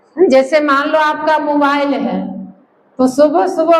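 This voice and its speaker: Her pitch is high for a woman, and the pitch variation is ordinary. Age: 60s. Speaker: health camp participant. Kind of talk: testimony.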